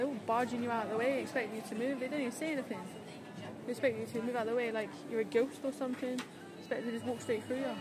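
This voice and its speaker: A woman at a very fast pace, with music in the background and a dry sound with no echo. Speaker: vlogger. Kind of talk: casual vlog chat. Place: shop. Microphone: phone near.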